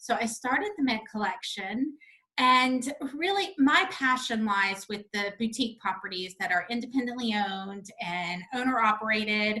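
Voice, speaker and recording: A woman with a slight Southern US accent talks at a moderate pace, her fairly high pitch showing ordinary variation. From North Carolina. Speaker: hotel representation company founder. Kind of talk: interview.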